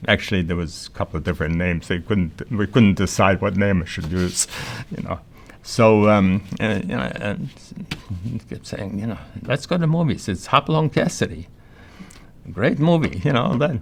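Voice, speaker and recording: A man's fairly low voice with very wide pitch swings at a moderate pace, over noticeable background noise. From Poland. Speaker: Holocaust survivor. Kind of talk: testimony. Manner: halting.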